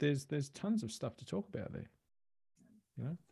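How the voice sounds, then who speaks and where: A man talks in an Australian accent against a quiet background. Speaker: e-commerce coach and podcaster. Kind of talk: casual interview chat.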